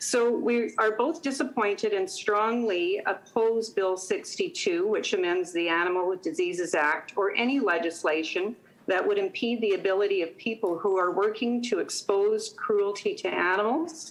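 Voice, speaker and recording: In a Canadian accent, a plain, everyday voice moves at a moderate pace with hardly any pauses. The intonation is lively while the loudness stays very even. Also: woman, fairly high pitch for a woman. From Manitoba, Canada (rural, Gilbert Plains). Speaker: public presenter at a legislative committee. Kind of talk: prepared public testimony. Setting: video call. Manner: formal. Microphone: iPad connection.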